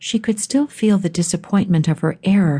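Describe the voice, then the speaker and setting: Dramatic in tone, a woman speaks with a dark, mellow, somewhat breathy voice and lively intonation. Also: quiet background. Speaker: audiobook narrator. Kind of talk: audiobook narration of a romance novel, reading aloud. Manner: dramatic, expressive, shifts between characters.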